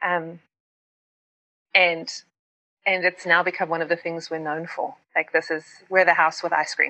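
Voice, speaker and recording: A woman speaks in a South African accent at a moderate pace, with long, frequent pauses. Her fairly low voice has a bright, sharp tone and a monotone, flat intonation. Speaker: pastor and writer. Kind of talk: casual interview chat.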